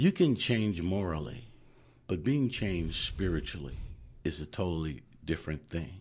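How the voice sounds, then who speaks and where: A man's very deep, low, somewhat breathy voice with lively intonation at a moderate pace, over a quiet background. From Oakland, California. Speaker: chaplain. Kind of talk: testimony. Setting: studio.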